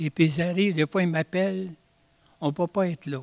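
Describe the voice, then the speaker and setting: Close and dry with no echo, the sound captures a man's voice. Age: 80s+. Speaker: citizen at council question period. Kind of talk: public question at council meeting. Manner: halting.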